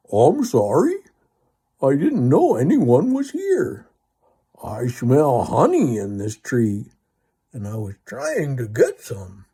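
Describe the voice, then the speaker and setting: Putting on a character voice at medium pitch, a man speaks with long, frequent pauses. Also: fairly slow pace. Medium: read story. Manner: friendly, easygoing.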